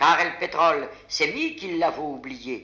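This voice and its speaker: Here a man speaks with a Picardy accent at a very slow pace. His pitch is fairly high. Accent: Picard dialect. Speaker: dialect poet. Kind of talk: poetry reading.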